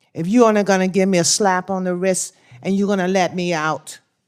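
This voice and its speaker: A woman with an American accent talks at a moderate pace, her fairly low voice monotone and flat in intonation. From Washington, D.C. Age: 60s. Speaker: crime victim's grandmother testifying. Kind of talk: testimony. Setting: senate hearing.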